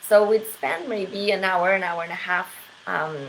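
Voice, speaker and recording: The speaker has a slight French accent and fairly even intonation, talking at a fairly slow pace. Noticeable background noise runs underneath. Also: woman. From Quebec. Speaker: English teacher. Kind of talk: casual monologue. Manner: hesitant with many fillers.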